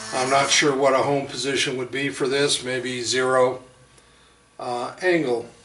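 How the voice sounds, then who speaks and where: A man talks at medium pitch and a fairly slow pace, monotone and flat. There is audible room echo and noticeable background noise. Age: 60s. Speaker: hobbyist machinist. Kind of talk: casual demonstration video. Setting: home workshop. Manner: halting, many fillers.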